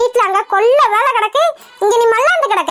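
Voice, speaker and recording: In a squeaky, cartoonish character voice, a woman speaks at extremely high pitch and a moderate pace. The sound is dry and close with no echo. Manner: loud, scolding.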